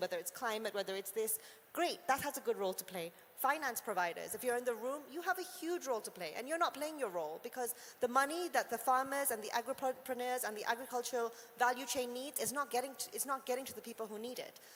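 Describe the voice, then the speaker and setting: Speaking at a very fast pace, a woman uses a high voice with lively intonation. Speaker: agri-tech startup executive. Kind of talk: panel discussion.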